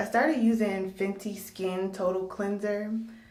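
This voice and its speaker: A woman speaks at a moderate pace and medium pitch with ordinary pitch variation. Music plays in the background, and there is audible room echo. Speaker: beauty vlogger. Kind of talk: casual vlog. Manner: casual, hesitant with fillers.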